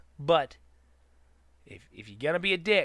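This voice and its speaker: The voice belongs to a man. It has a bright, sharp tone and a moderate tempo. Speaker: youtube host. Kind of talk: rant. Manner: halting.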